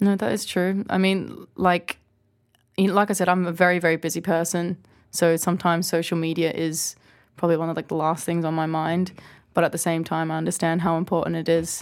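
Spoken in an Australian accent at a fairly quick pace, the flat, monotone delivery sits on a very clean recording with a silent background. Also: woman, fairly low pitch for a woman. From Australia, small town. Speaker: DJ. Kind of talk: casual interview chat. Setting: studio.

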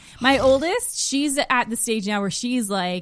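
In a very clean recording with a silent background, a woman with an Ontario accent speaks at a moderate pace with ordinary pitch variation. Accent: Canadian (Ontario). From northern Ontario, Canada (rural). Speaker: podcast guest, mother. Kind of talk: casual interview chat. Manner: unpredictably loud at times.

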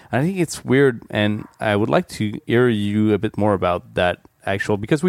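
Speaking at a moderate pace with a Quebec accent, a man has a fairly low voice in a dry, close sound with no echo. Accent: French-Canadian accent in English. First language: French. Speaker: podcast host. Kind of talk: casual chat. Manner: hesitant in English.

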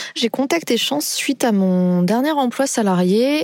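A woman's voice with very wide pitch swings over noticeable background noise. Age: 30s. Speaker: job seeker in career transition. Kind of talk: testimony.

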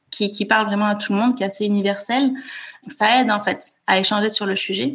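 Somewhat breathy, a woman talks at a very fast pace. Her fairly high pitch holds fairly even intonation. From France, Toulouse. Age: 30s. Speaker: author and bereaved sister. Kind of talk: interview testimony. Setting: remote call.

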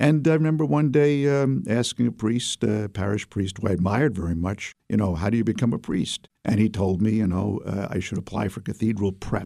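A man with a fairly low pitch and a dark, mellow tone speaks at a fairly quick pace with ordinary pitch variation. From US Northeast, Brooklyn, New York City. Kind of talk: interview. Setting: studio.

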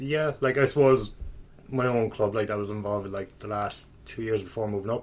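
A man with a fairly low pitch talks at a fairly quick pace, his pitch varying in an ordinary way. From Kerry, Ireland. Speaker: coach. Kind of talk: casual chat. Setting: in person, recorded in a room. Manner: animated, swears often.

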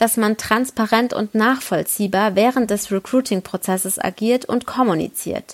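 At a fairly slow pace, a woman with a plain, everyday voice speaks at a fairly high pitch with ordinary pitch variation. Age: 30s. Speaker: HR professional. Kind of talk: recorded statement.

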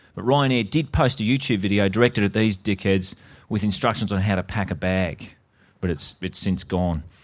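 Very clean and set against a silent background, the recording has a man with an Australian accent speaking at a moderate pace, fairly low in pitch with ordinary variation. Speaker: podcast co-host. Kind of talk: casual chat.

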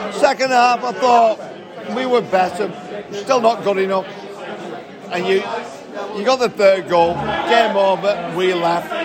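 Crowd noise fills the background as a man speaks at a high pitch, with ordinary pitch variation. He goes at a fairly slow pace with long, frequent pauses. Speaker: football fan. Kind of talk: casual post-match fan chat.

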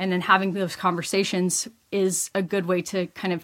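Speaking with a Texan accent, a woman has a medium-pitched, bright, sharp voice. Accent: Texan American. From US, rural West Texas. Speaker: doctor. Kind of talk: interview.

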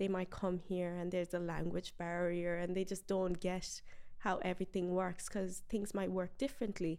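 Speaking at a moderate pace with an Irish accent, a woman has a medium pitch, a dark, mellow tone, monotone, flat intonation and very even loudness. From Ireland (raised from early childhood, Galway area). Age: 20s. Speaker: beauty pageant winner and medical scientist. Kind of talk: interview.

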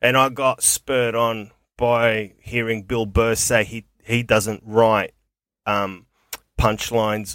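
In a dry, close recording with no echo, a man with an Australian accent speaks very slowly at a medium pitch with monotone, flat intonation. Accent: broad working-class Australian. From Melbourne, Australia, Greek heritage. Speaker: comedian and radio host. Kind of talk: casual interview chat. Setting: studio podcast. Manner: hesitant, many fillers.

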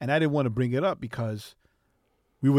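On a very clean recording with a silent background, a man with a New York accent talks at a medium pitch. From New York, Queens. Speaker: podcast co-host. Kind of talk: casual chat.

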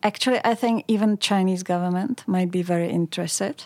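A woman speaks with a Czech accent at a medium pitch. The recording is very clean with a silent background, and the sound is dry and close with no echo. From Czech Republic, Pilsen. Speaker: communications executive. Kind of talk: interview. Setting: studio.

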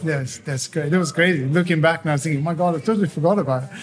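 This man's voice sits fairly high in pitch. Music plays in the background. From Tuscany, Italy. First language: Italian. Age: 40s. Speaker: chef. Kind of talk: casual chat. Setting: indoor cafe with music.

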